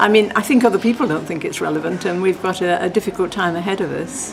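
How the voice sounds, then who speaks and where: Noticeable background noise sits behind a woman with an English accent. She speaks at a fairly quick pace with ordinary pitch variation. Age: 80s+. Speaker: churchgoer, former lay preacher. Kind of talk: interview. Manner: halting.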